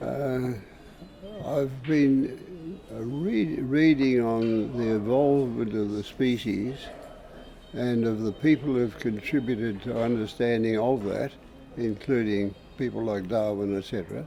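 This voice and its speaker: There is noticeable background noise behind this man. He speaks at a fairly slow pace with a medium pitch and ordinary pitch variation. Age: 80s+. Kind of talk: interview answer. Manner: thoughtful, hesitant.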